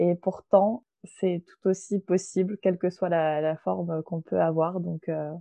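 Very slowly, a woman speaks at a fairly low pitch with monotone, flat intonation. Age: 20s. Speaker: yoga teacher. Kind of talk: casual chat.

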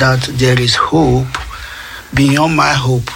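Amid noticeable background noise, a man with a Nigerian accent speaks at a very slow pace. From Nigeria, Edo State. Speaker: asylum seeker and artist. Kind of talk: interview testimony. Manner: halting, mixes French and English.

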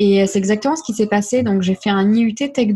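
Her medium-pitched voice is somewhat breathy, and this woman speaks with ordinary pitch variation. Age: 20s. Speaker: life coach. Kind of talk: interview.

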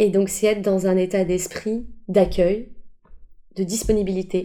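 A woman's dark, mellow voice at medium pitch and a fairly slow pace. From Paris, France. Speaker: improv actor and coach. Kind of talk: interview. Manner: hesitant, many fillers.

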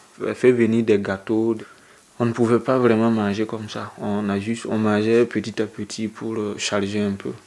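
The man's voice is fairly low and flat, a monotone. He keeps a moderate pace. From Burkina Faso. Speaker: young exiled migrant. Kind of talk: personal testimony in documentary. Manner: halting, with repetitions.

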